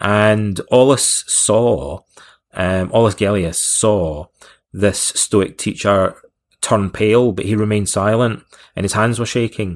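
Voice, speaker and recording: In a very clean recording with a silent background, a man uses a normal speaking voice, fairly low in pitch with ordinary pitch variation. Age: 40s. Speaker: author and Stoicism expert. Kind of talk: interview.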